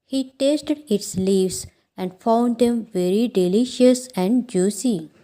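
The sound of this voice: Unforced reading voice, pitch varying in an ordinary way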